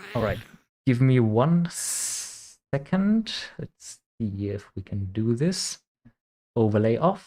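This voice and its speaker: A man with a German accent, very slow, long and frequent pauses, medium pitch, lively intonation, and a dark, mellow tone. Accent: German accent, noticeable. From Germany (Bavaria). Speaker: video game streamer. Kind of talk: live stream commentary.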